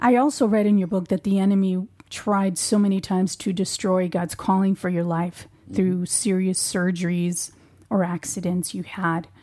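A woman speaks at a moderate pace with medium pitch and fairly even intonation. She has a plain, everyday voice, recorded very cleanly against a silent background. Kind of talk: interview.

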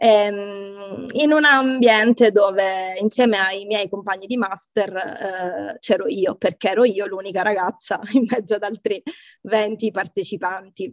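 A woman talks at a very slow pace with a medium pitch and ordinary pitch variation. The sound is dry and close, with no echo. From Sicily, Catania. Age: 40s. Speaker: software engineer and tech team lead. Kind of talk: interview conversation. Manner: hesitant, many fillers and repetitions.

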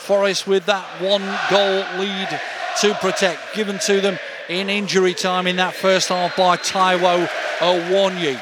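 Over noticeable background noise, a man with a high pitch talks at a fairly slow pace in a monotone, flat intonation. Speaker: hospital radio presenter and football commentator. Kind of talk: scripted show intro then live football commentary. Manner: brisk, running description of the play, building to admiring exclamations; hesitant with fillers mid-commentary.

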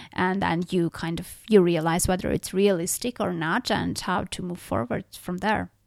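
A woman speaks in a non-native accent with a fairly low pitch, vocal fry, ordinary pitch variation and hardly any pauses. The recording is very clean, dry and close, with a silent background and no echo. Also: moderate pace. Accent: foreign-accented English. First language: not English. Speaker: podcast host and author. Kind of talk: interview.

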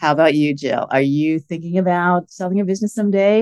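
A woman's normal speaking voice at medium pitch, fairly quick, with ordinary pitch variation and a dry, close sound with no echo. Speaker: podcast host; lawyer. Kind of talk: scripted intro then casual interview.

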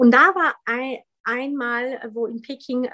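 Speaking in a Polish accent, a woman has a high pitch. Her intonation stays fairly even. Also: dry, close sound with no echo. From Poland (Wrocław), in Germany from age 11. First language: Polish (speaking German). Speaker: former Olympic fencer. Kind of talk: podcast interview. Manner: hesitant, many fillers.

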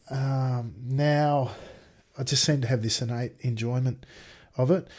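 A somewhat breathy male voice of medium pitch with an Australian accent. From Australia, Sydney. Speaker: sim racer and IT worker. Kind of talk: casual interview chat. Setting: video call.

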